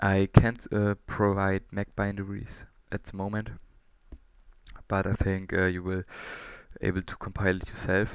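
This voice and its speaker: A man with a non-native accent speaks at a moderate pace in a fairly low, monotone, flat voice. He leaves long, frequent pauses, and his loudness swings a great deal. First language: not English. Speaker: open source software developer. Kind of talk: software demo presentation. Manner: halting, many fillers.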